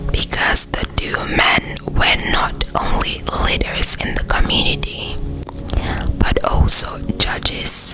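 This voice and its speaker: A whisper at a very slow pace, with music in the background. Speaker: ASMR creator. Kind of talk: Bible story reading. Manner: whispered.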